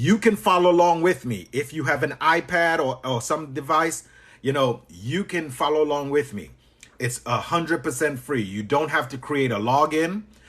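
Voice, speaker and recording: Over a quiet background, a man with a fairly high pitch speaks at a moderate pace with lively intonation. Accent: Trinidadian. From Trinidad. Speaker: business coach. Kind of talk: live stream tutorial. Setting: live stream. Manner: animated.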